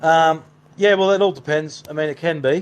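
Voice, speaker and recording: With an Australian accent, a man is talking. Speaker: paranormal investigator. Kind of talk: live stream chat. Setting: live stream. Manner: fast.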